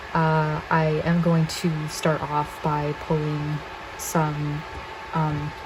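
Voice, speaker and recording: Noticeable background noise sits behind a woman whose pitch is very deep and low. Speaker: tarot reader. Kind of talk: pick-a-card tarot reading. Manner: low energy; quiet, kept down.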